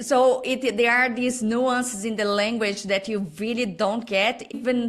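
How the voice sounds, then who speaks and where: A woman's fairly high voice with fairly even intonation at a fairly slow pace. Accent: Portuguese. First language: Portuguese. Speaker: designer and business owner. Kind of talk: interview. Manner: halting.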